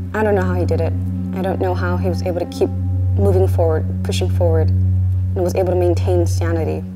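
Loud background noise fills the clip. Over it, a woman talks at a fairly quick pace. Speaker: author, daughter of the trainer. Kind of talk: documentary narration. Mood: reflective, admiring, soft. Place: gym.

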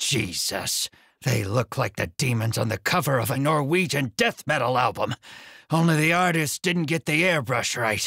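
A man does a raspy, put-on character voice of medium pitch, with lively intonation, a moderate pace, very even loudness and a dry, close sound with no echo. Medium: read story. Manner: gruff, sarcastic, bossy.

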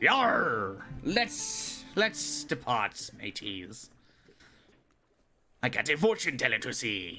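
Over faint background music, a man does a put-on character voice at a fairly high pitch, talking very slowly with long, frequent pauses. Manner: exaggerated, comic.

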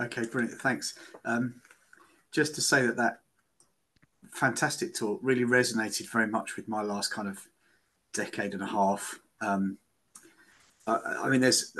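A man with a bright, sharp tone talks at a fairly quick pace with ordinary pitch variation, though long, frequent pauses interrupt him. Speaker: educator; audience member. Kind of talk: seminar Q&A. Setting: video call. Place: office. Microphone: video call.

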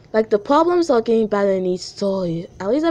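It's a natural reading voice with lively intonation.

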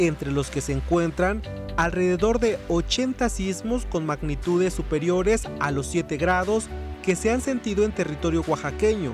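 Background music under speech of moderate speed. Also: man. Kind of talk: news feature narration.

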